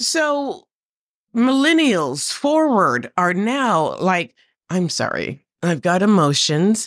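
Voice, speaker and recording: A woman's very slow speech with very wide pitch swings against a quiet background. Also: medium pitch for a woman. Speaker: drag performer and co-host. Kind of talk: casual chat.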